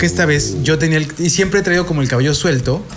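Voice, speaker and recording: A man talks while music plays in the background. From Mexico City. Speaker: rock podcast co-host. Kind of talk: casual chat.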